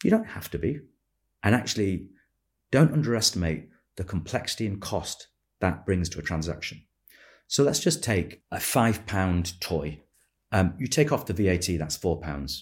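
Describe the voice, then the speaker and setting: Over a very clean recording with a silent background, a man speaks at a moderate pace in a very deep, low pitch, somewhat breathy, with lively intonation and long, frequent pauses. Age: 50s. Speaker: retail business founder and former chief executive. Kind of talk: interview. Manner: measured, with frequent fillers.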